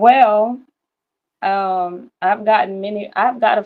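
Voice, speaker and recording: A woman with a Louisiana accent talks at a medium pitch. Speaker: caller. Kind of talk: casual chat.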